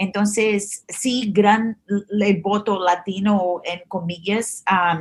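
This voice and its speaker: The speaker is a woman with a medium pitch. She keeps her intonation fairly even. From Brazil. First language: Portuguese (speaking Spanish). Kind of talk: interview. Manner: halting, many fillers and restarts.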